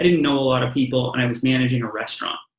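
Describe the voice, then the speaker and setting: A man with a Canadian accent speaks at a medium pitch in a somewhat breathy voice. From western Canada, British Columbia. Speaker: real estate agent. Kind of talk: interview, giving advice.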